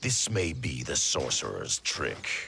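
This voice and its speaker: A man puts on a character voice, very deep and low, and talks fairly slowly. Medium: video game. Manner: suspicious, blunt.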